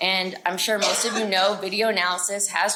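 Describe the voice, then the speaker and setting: Noticeable background noise sits under the speech. The delivery is at a moderate pace with monotone, flat intonation. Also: woman. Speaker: market researcher presenting at a conference. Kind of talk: conference presentation. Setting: conference room with audience. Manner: loud. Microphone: no personal mic, speaking without being mic'd up.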